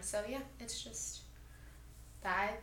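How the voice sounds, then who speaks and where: A woman at a very slow pace amid noticeable background noise and audible room echo. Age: 20s. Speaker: weight loss surgery patient. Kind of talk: interview.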